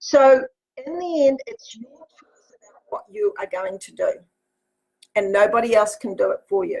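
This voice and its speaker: A woman speaks at a moderate pace in an animated tone, her high pitch moving in very wide swings. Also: big swings in loudness. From New Zealand. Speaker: motivational speaker and life coach. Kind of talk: motivational talk. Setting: Facebook live broadcast from home office.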